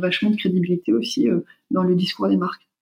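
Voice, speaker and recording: A woman talks at a fairly quick pace in a medium pitch. Her voice is somewhat breathy. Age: 40s. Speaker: marketing and communication consultant. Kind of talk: interview.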